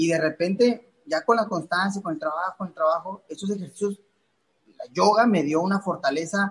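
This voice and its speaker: At a moderate pace, a man speaks with lively intonation at a high pitch. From Mexico, Playa del Carmen (Quintana Roo). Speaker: professional boxer. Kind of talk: podcast interview. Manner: halting, many repetitions and fillers.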